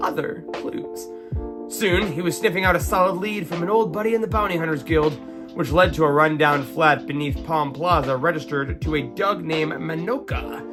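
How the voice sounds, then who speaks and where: Music plays in the background while a man speaks. His tone is dramatic and his pace moderate. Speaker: podcast host. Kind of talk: bedtime story reading.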